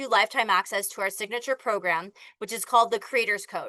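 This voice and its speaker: Over a quiet background, a woman talks very fast in an animated tone with a fairly high pitch and ordinary pitch variation, the sound dry and close with no echo. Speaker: online business coach. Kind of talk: sales pitch.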